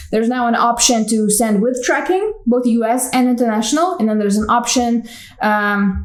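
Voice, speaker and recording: Fairly quick speech with ordinary pitch variation and audible room echo. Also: woman. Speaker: vlogger and small online store owner. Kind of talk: casual vlog monologue. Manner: casual, hesitant fillers.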